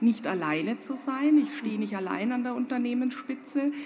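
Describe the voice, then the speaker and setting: Over noticeable background noise and audible room echo, a woman talks at a moderate pace with a fairly high pitch and ordinary pitch variation. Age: 50s. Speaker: fashion company owner. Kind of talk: panel discussion. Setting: stage with audience.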